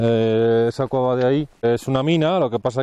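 A man speaks with a dark, mellow tone in a dry recording with no echo. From Valladolid, Spain; Spain. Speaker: mountain hut warden; guide. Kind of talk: interview while hiking. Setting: outdoors in the mountains. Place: open country. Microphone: lapel.

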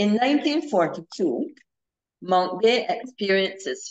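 A woman with a Barbadian accent at a moderate pace, her pitch swinging very widely, against a quiet background. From Barbados. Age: 70s. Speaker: historian; presenter. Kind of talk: history lecture. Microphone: video call.

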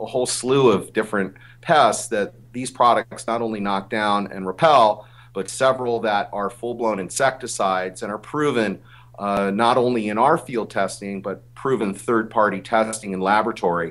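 A man's normal speaking voice, fairly low in pitch, with ordinary pitch variation and a moderate pace. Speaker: remote guest. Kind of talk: interview answer. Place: office. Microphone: video call.

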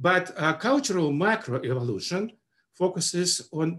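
At a very slow pace, a man talks with lively intonation. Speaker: webinar presenter. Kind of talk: lecture. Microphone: webcam.

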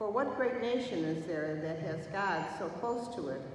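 Strong room echo and light background noise surround speech delivered at a moderate pace. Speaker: lector reading scripture. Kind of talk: scripture reading aloud. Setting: church. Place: church. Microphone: podium.

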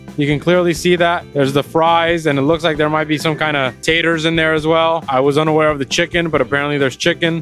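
With faint music in the background and a dry sound with no echo, a man speaks very fast with fairly even intonation. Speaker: host of a food review show. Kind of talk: casual commentary. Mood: playful, joking. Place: street. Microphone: handheld.

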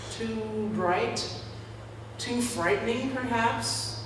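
A woman at a very slow pace amid audible room echo and noticeable background noise. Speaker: preacher. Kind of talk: sermon. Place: church. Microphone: camera far.

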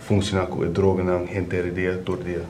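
Music plays behind a man whose voice sits very deep and low. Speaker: addiction counselor. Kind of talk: explanatory talk. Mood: calm, serious. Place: office.

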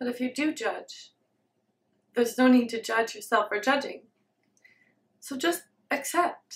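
With a high pitch and a gentle tone, a woman talks at a fairly slow pace, using ordinary pitch variation and long, frequent pauses. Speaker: meditation video creator, self-described student of meditation. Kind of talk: guided meditation. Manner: gentle, halting with long silences. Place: home room.

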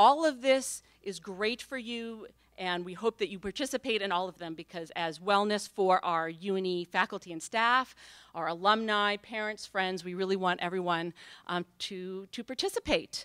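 A woman talks at a moderate pace with ordinary pitch variation and big swings in loudness, the sound dry with no echo against a quiet background. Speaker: event host. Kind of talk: event welcome and introduction. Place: hall. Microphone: podium.

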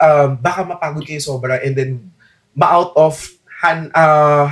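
Somewhat breathy and fairly high-pitched, a man speaks at a fairly slow pace with fairly even intonation. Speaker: choir podcast host. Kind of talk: casual chat.

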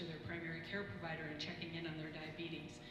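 A woman is talking with audible room echo. Noticeable background noise is present. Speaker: health center administrator. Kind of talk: roundtable discussion. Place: hall.

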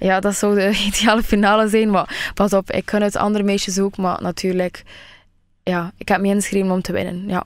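Against a quiet background, a woman talks at a fairly quick pace in a monotone, flat intonation. The sound is dry with no echo. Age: 20s. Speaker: beauty pageant finalist; radio guest. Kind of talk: radio interview. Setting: radio studio. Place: studio.

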